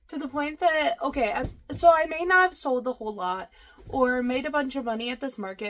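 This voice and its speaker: Against noticeable background noise, a woman talks at a fairly quick pace in a high pitch with ordinary pitch variation. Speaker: crochet vendor and vlogger. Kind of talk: casual vlog.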